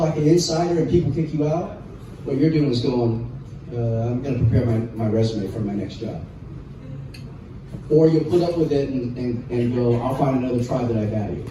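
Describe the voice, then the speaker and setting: A man with an American accent talks at a moderate pace with ordinary pitch variation, with audible room echo and noticeable background noise. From southern California, Los Angeles area. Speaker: public speaker. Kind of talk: talk to an audience with Q&A. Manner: conversational, with fillers and repetitions.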